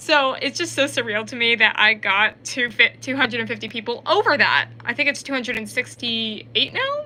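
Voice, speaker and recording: A woman at a fairly high pitch with ordinary pitch variation, moderate pace and hardly any pauses, amid noticeable background noise. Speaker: YouTuber and author. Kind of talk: casual livestream Q&A. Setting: livestream on camera. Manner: rambling, filler-heavy; stuttering.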